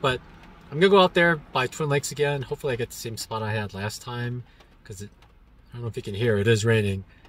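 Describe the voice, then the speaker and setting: A man talks at a very fast pace with lively intonation and big swings in loudness. The sound is dry with no echo. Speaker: travel vlogger. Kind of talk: casual vlog chat. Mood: cheerful, pleased. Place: car. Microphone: phone near.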